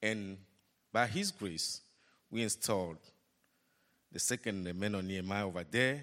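On a very clean recording with a silent background, a man speaks in a fairly low voice with a bright, sharp tone. His pace is moderate, his pitch varies in an ordinary way, and he takes long, frequent pauses. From Togo. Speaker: ministry leader. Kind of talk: testimony.

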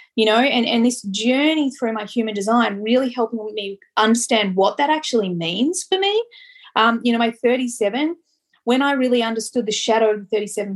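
At a moderate pace, a woman with an Australian accent talks at a fairly high pitch with ordinary pitch variation. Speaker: podcast host and life coach. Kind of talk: casual chat. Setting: recording on location in a small French town. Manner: animated.

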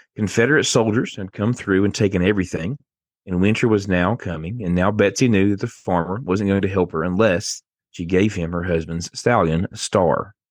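At a moderate pace, a man with a fairly low voice talks in an Appalachian accent. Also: ordinary pitch variation, quiet background. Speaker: podcast host. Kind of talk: casual chat, storytelling.

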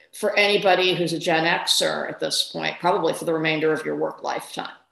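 The pace is moderate. Room echo is audible. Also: woman. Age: 50s. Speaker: newspaper columnist and author. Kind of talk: interview conversation.

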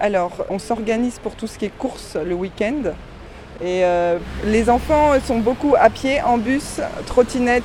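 Someone talks at a fairly slow pace with ordinary pitch variation over noticeable background noise. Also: woman. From Caen, Normandy. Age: 40s. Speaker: commuter, mother. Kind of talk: testimony.

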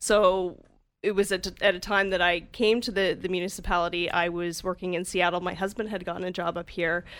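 With a western Canadian accent, a woman speaks at a fairly quick pace and a medium pitch in a monotone, flat intonation. The recording is very clean with a silent background. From Calgary, Canada. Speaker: municipal finance director. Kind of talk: podcast interview. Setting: radio studio.

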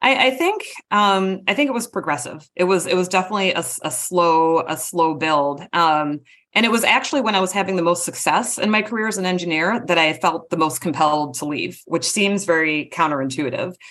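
A woman with an American accent and a plain, everyday voice, fairly low in pitch, lively in intonation, at a fairly quick pace. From US Midwest, Wisconsin. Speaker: marketing executive, former engineer. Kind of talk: interview.

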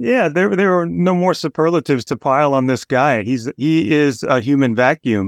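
Speaking with an unremarkable speaking voice, a man uses a fairly high pitch and lively intonation at very even loudness over a quiet background. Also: moderate pace. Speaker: baseball podcast host. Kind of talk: casual chat.

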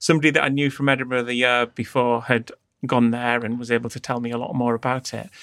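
On a very clean recording with a silent background, a man with a northeastern English accent talks at a medium pitch in a monotone, flat way. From northeast England. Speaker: design agency founder. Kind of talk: interview conversation.

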